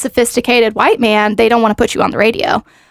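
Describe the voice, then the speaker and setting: A woman with an American accent speaks at a fairly high pitch with vocal fry. The sound is dry and close with no echo. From US South, Nashville area, Tennessee. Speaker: radio events director and DJ. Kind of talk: casual interview chat.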